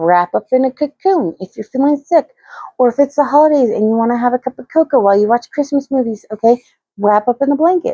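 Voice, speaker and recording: Soft-spoken, fairly quick delivery with lively intonation, a dark, mellow tone and a dry, close sound with no echo. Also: woman. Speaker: crochet youtuber. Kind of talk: casual vlog talk. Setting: home, early morning. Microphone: too quiet, needed microphone.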